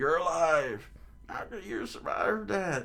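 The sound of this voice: Putting on a character voice, a man speaks slowly at a fairly high pitch with lively intonation, a bright, sharp tone and vocal fry.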